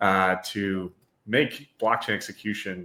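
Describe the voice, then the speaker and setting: A man speaks at a fairly low pitch with a bright, sharp tone. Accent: American. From US Midwest, Wisconsin. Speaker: podcast host. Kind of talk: interview podcast. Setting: live stream.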